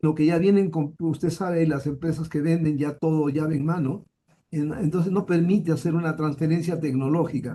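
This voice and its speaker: Fairly high in pitch with a dark, mellow tone, a man speaks at a moderate pace, his intonation fairly even and his loudness very even. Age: 70s. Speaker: university professor. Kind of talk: conference Q&A discussion. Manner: halting, many repetitions.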